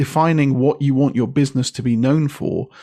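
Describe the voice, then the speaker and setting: Speaking fairly quickly in a British accent, a man with a fairly high voice has a dark, mellow tone and some vocal fry. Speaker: copywriter and author. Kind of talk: podcast interview.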